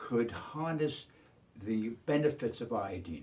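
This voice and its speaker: A man speaks very slowly with lively intonation. His voice is somewhat breathy. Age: 80s+. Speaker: chemist and inventor. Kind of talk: pitch interview. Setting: filmed submission video. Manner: halting, many fillers.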